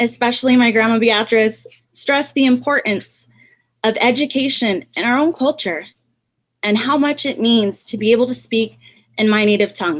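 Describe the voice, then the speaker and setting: Spoken with a New Mexico accent, the voice moves at a moderate pace with ordinary pitch variation. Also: woman. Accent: New Mexican English. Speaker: pharmacy student. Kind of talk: prepared speech. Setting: video call.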